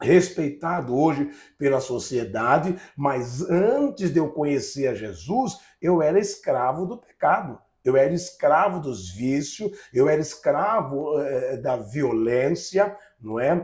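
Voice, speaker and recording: In a very clean recording with a silent background, a man with a fairly high, somewhat breathy voice and lively intonation speaks at a very slow pace. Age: 60s. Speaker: pastor. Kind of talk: testimony. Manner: halting, repeats words.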